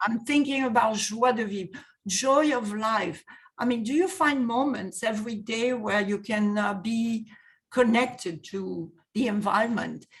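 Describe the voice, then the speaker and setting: Somewhat breathy woman's voice with a French accent, fairly slow pace and ordinary pitch variation, on a very clean recording with a silent background. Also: fairly high pitch for a woman. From France. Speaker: wellness coach. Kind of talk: interview.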